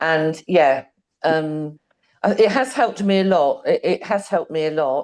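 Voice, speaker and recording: A moderate pace with lively intonation, in a British accent. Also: woman. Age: 60s. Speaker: program participant. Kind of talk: testimony. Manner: halting.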